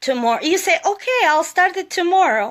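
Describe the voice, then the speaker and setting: A woman speaks with a non-native accent and lively intonation. The recording is very clean, with a silent background. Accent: foreign. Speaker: motivational live streamer. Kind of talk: motivational talk. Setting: live social media stream.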